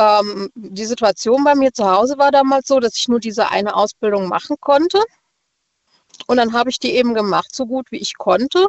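Lively intonation at a moderate pace. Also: woman, high pitch for a woman. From Rastatt, Baden. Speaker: caller, notary office clerk. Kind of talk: casual phone chat. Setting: phone call.

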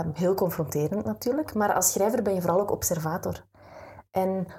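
A woman's somewhat breathy voice sits at medium pitch with a dark, mellow tone. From Flanders, Belgium. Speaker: writer and coach, former radio announcer. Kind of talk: interview.

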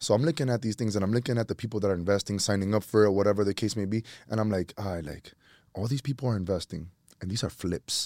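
On a very clean recording with a silent background, a man with an American accent speaks at a very fast pace in a fairly low voice with a dark, mellow tone and ordinary pitch variation. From New York City, Washington Heights. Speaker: real estate investor and former teacher. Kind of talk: casual chat.

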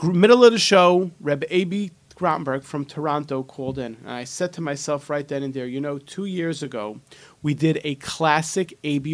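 With a plain, everyday voice, a man speaks at a fairly high pitch and moderate pace, showing ordinary pitch variation and big swings in loudness. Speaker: radio host. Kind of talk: radio DJ patter, upbeat show intro and phone-line plugs. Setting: radio studio. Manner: repeats phone numbers and slogans, salesy and warm.

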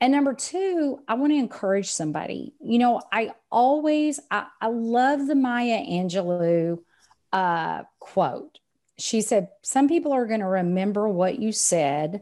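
In a Texan accent, a woman speaks at a fairly slow pace with a fairly high pitch, a dark, mellow tone and very wide pitch swings, on a very clean recording with a silent background. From Texas. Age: 50s. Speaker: sales coach and business owner. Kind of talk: casual interview chat.

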